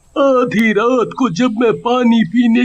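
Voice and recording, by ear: A cartoonish character voice carries the speech. It moves at a very slow pace. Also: man.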